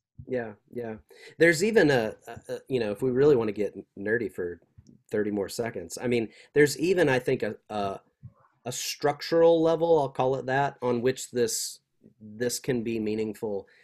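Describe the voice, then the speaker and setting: A man with an American accent and an unremarkable speaking voice, medium in pitch, at a moderate pace with ordinary pitch variation. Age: 40s. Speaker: seminary professor. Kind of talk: interview.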